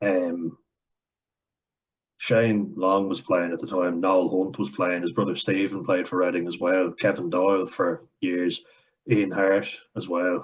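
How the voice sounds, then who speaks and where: This man has a very deep, low pitch and an Irish accent. He talks at a moderate pace. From Ireland. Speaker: commentary vlogger. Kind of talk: reaction commentary. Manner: animated.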